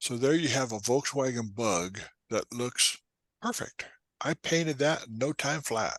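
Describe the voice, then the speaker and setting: With an unremarkable speaking voice, a man talks at a fairly slow pace and medium pitch with ordinary pitch variation, in a quiet background and a dry, close sound with no echo. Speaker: photography instructor. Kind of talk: tutorial. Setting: talk to a photo club.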